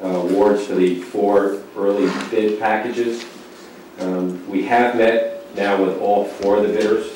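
Strong room echo and light background noise surround a man speaking at a fairly low pitch with fairly even intonation. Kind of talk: formal presentation to a board. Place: meeting room.

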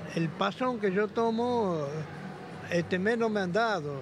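A man at a very slow pace, in a dry sound with no echo and noticeable background noise. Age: 70s. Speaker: retiree and street vendor; street vendor. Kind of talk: street interview. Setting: outdoors. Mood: complaining, resigned. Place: hall. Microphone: handheld.

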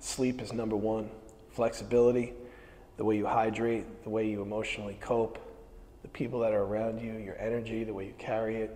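At a fairly quick pace, a man speaks at a medium pitch with monotone, flat intonation. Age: 40s. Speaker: strength coach. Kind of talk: instructional stretching class. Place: gym. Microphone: lapel.

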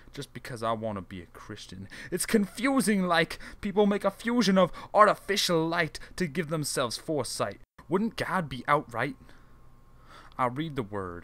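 An intense, bright, sharp male voice with very wide pitch swings and big swings in loudness, in a very clean recording with a silent background. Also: fairly high pitch for a man, moderate pace. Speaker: spoken word poet. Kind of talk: spoken word poem. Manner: rhythmic, rhyme-driven, intense delivery.

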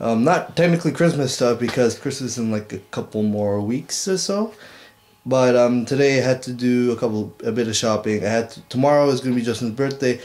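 Talking at a fairly quick pace, a man shows ordinary pitch variation. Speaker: vlogger. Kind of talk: casual vlog chat. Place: home room. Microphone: webcam.

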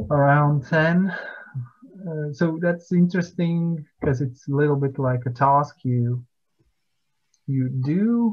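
Against a quiet background, a man with a Latvian accent talks very slowly with long, frequent pauses, his fairly high voice somewhat breathy and his pitch variation ordinary. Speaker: poet. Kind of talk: interview. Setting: video call. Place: home room. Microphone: video call.

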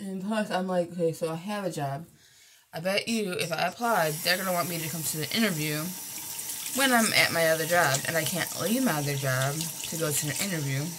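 A woman speaks at a fairly low pitch against noticeable background noise. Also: ordinary pitch variation, fairly quick pace. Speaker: vlogger. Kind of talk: casual vlog chat. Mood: frustrated, venting about work. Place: home room. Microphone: phone near.

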